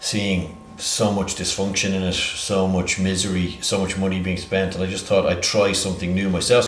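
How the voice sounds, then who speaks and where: A man with a strong English accent speaks at a moderate pace in a fairly low voice, with audible room echo and noticeable background noise. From Ireland, Dublin (born in England). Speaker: healthcare entrepreneur. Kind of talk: interview. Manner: halting, many fillers.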